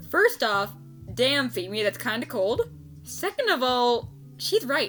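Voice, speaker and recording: With music in the background, a woman talks very slowly. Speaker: voice actor. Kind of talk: casual unscripted fan commentary. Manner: stuttering, excited.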